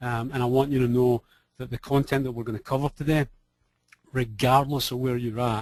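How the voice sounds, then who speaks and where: With a Scottish accent, a man talks at a fairly quick pace. His intonation is monotone and flat. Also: medium pitch for a man. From Scotland. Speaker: business coach. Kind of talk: webinar presentation. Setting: online webinar. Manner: casual, conversational with fillers.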